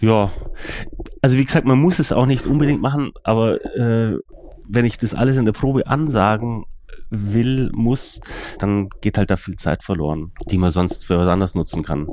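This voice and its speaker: Dark and mellow in tone, a man with a medium pitch and lively intonation speaks at a moderate pace with long, frequent pauses. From Germany, Allgäu (Kempten, Bavaria). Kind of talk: casual interview conversation. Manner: hesitant, many fillers.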